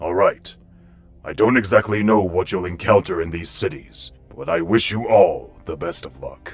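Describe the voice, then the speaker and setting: Over faint background music, a man puts on a character voice at a fairly low pitch and a moderate pace. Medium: audio drama. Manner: formal, measured.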